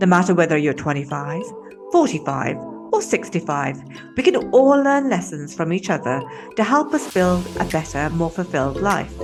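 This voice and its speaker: The speaking speed is moderate. Background music accompanies it. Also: woman. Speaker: podcast host. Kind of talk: podcast intro.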